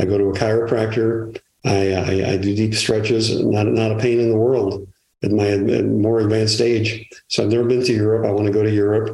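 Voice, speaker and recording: A man's fairly low, dark and mellow voice with a Chicago accent, monotone and flat, at very even loudness. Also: fairly quick pace. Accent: Chicago American English. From Chicago area. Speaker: retired music publicist. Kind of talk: interview conversation. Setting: remote from home. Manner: halting, many fillers and repetitions.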